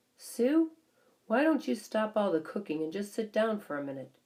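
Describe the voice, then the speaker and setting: A woman puts on a character voice that growls and rumbles in a fairly high pitch. Her pitch swings very widely as she keeps a moderate pace. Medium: read story. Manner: sour, grumbling.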